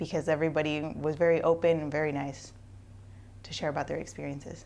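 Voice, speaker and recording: A woman's very deep, low voice with vocal fry, very fast pace and fairly even intonation, on a very clean recording with a silent background. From Eastern Washington, US. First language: Spanish. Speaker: university student. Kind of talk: testimonial.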